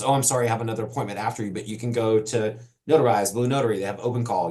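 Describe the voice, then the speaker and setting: The man talks at a very fast pace. His medium-pitched voice is somewhat breathy. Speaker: notary trainer. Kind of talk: live webinar Q&A session. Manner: off the cuff, conversational.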